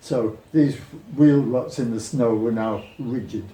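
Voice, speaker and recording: Audible room echo surrounds a man whose medium pitch varies in an ordinary way. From Britain. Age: 70s. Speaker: retired cyclist. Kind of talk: interview.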